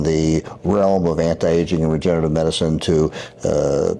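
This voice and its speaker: Over noticeable background noise, a man with a very deep, low pitch talks at a fairly quick pace in a monotone, flat intonation. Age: 70s. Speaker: surgeon. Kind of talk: interview. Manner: halting, many fillers and repetitions.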